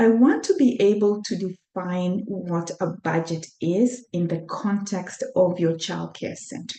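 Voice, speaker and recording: With a Kenyan accent, a woman speaks at a fairly slow pace in a dark, mellow tone, her pitch varying in an ordinary way and hardly pausing at all. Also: medium pitch for a woman. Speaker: accountant and workshop presenter. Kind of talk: webinar presentation. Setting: online webinar. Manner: hesitant, with many fillers.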